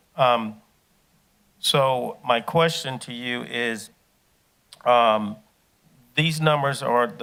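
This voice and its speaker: A man talks with a medium pitch and ordinary pitch variation. His tone is bright and sharp. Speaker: county council member. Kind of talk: public meeting discussion.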